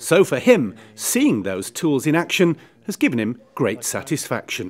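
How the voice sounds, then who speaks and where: Vocal fry runs through this voice, which makes very wide pitch swings at a fairly slow pace. The recording is very clean, with a silent background. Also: man, fairly high pitch for a man. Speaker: video reporter. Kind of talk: video report presentation.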